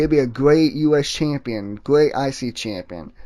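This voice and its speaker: Against a quiet background, a man speaks at a fairly high pitch with a dark, mellow tone. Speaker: wrestling podcast host. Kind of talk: casual solo podcast commentary. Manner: stuttering, halting.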